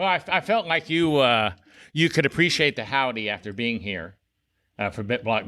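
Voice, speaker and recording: On a very clean recording with a silent background, a man with a Southern US accent speaks in a bright, sharp tone with very wide pitch swings. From South Carolina. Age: 60s. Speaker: podcast host. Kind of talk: podcast interview.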